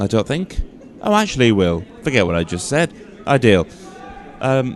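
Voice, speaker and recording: At a medium pitch and a moderate pace, a man speaks with very wide pitch swings amid noticeable background noise. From northern Scotland. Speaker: curling commentator. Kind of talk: live commentary. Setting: curling rink with PA system. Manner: loud.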